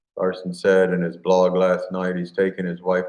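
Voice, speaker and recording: This man has a Midwestern US accent and a very deep, low pitch. His intonation is monotone and flat, and his pace is moderate. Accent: US Midwest. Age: 50s. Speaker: farmer and video creator. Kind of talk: casual live stream chat.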